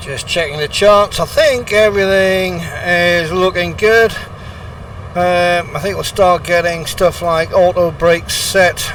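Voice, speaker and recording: A man with a British accent speaks at a fairly slow pace in a relaxed tone, with noticeable background noise behind him. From Britain. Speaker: flight simulator streamer. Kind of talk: casual commentary. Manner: relaxed, with frequent fillers.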